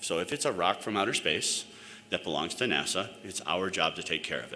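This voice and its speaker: A man with an American accent is heard with audible room echo and noticeable background noise. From New York. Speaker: planetary scientist and sample curator. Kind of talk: conference talk. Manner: fast.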